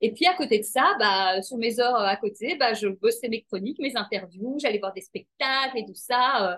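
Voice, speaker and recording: A woman has a plain, everyday voice at a fairly high pitch. She speaks at a moderate pace with ordinary pitch variation. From Belgium, Brussels. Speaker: TV presenter and life coach. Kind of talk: interview.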